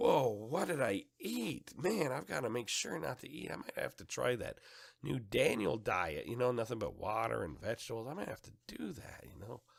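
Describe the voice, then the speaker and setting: This man uses a put-on character voice, raspy and medium in pitch. He talks at a moderate pace. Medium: solo performance.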